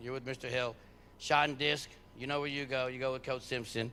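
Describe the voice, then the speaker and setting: A man speaks loudly in a bright, sharp tone. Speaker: head track coach. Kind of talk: awards ceremony speech.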